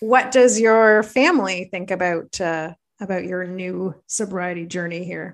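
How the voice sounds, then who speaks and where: In an Ontario accent, a woman speaks at a medium pitch with ordinary variation and big swings in loudness, over a quiet background. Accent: Canadian (Ontario). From Belleville, Ontario, Canada. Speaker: podcast host. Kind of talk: casual interview chat.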